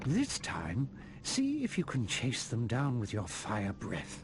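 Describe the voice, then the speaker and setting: A man's put-on character voice at a medium pitch and fairly slow pace, with clear music in the background. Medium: video game. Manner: solemn, measured.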